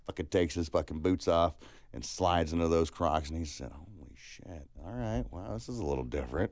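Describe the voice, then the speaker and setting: With an American accent, a man talks at a fairly quick pace in a very deep, low pitch with vocal fry, lively intonation and big swings in loudness. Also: quiet background. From California and Alabama. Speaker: podcast co-host. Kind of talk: casual chat.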